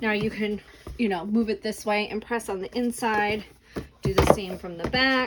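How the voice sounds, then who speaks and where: A woman with a fairly high pitch talks at a moderate pace and with fairly even intonation over noticeable background noise. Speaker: crafting tutorial creator. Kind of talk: tutorial. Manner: casual, filler words.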